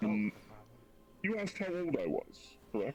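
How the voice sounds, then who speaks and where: Against clear background noise, a man puts on a high-pitched character voice. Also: moderate pace. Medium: actual play. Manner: hesitant, polite, formal.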